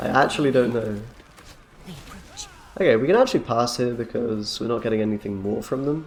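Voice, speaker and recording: A man's fairly even intonation and moderate tempo come through over noticeable background noise. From England. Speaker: gaming streamer. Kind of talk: gameplay commentary. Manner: casual, chatty.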